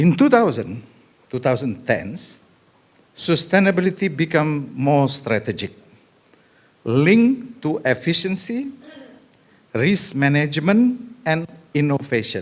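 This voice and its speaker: With an Indonesian accent, a man speaks fairly slowly at a fairly high pitch, his pitch swinging very widely between long, frequent pauses. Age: 70s. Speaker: government senior advisor. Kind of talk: conference speech.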